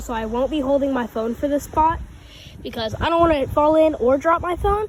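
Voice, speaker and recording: Over noticeable background noise, a woman speaks at a very fast pace in a high pitch with ordinary pitch variation. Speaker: fishing vlogger. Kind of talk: outdoor vlog narration. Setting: outdoors by a creek. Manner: casual; whispering at times.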